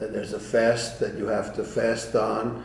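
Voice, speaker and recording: With audible room echo, a man talks at a fairly slow pace in a medium pitch. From Eastern Europe (Romania/Ukraine). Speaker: Holocaust-era family history storyteller. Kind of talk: personal testimony. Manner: halting with frequent fillers.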